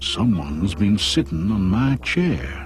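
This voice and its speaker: A put-on character voice at a fairly slow pace over clear music in the background. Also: man. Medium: read story.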